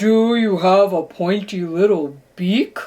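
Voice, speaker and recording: In a put-on character voice, a female-sounding speaker with medium pitch talks at a fairly slow pace. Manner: booming, loud.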